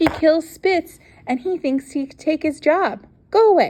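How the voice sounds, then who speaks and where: Speaking at a moderate pace, a woman uses a squeaky, put-on character voice pitched extremely high. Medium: read story. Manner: blunt, broken English.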